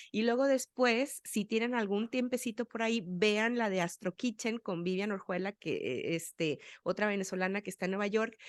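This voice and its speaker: In an ordinary speaking voice, a woman with a fairly high pitch speaks at a moderate pace with ordinary pitch variation and hardly any pauses, the sound dry and close with no echo. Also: very clean recording, silent background. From Sonora, Mexico. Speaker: podcast host. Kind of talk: interview chat.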